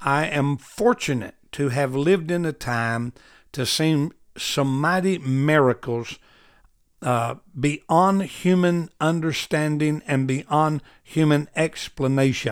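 With an Arkansas accent, a man speaks very slowly at a fairly high pitch with ordinary pitch variation, in a very clean recording with a silent background. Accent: Southern US (Arkansas). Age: 60s. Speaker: preacher, Bible teacher. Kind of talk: Bible study teaching.

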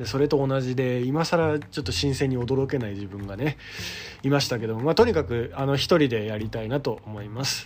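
In an ordinary speaking voice, the speaker talks at a fairly quick pace with ordinary pitch variation. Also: man, medium pitch for a man. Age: 30s. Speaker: theatre director and playwright. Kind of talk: solo podcast talk. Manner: casual.

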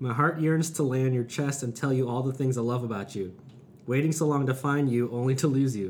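At a fairly quick pace, a man speaks in an unremarkable speaking voice of medium pitch with ordinary pitch variation. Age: 30s. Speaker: podcast host. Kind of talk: casual chat, interview. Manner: joking, laughs often.

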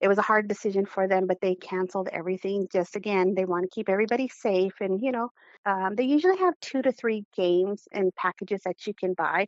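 With ordinary pitch variation, an ordinary speaking voice runs along at a fairly quick pace. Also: woman. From Arizona. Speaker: sports fan. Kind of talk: interview.

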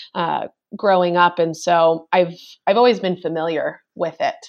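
A woman with a fairly low pitch talks at a fairly slow pace in an ordinary speaking voice. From New York. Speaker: cannabis science educator. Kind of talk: interview.

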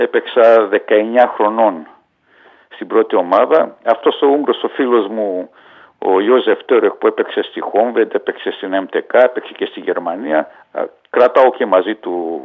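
A man talks at a fairly slow pace, his loudness swinging in big jumps. Long, frequent pauses break up his speech. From Hungary (Budapest), Greek refugee family. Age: 60s. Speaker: retired footballer. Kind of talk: interview testimony.

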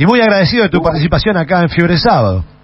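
Against noticeable background noise, a man speaks in a high pitch with lively intonation. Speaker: radio host. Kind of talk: interview.

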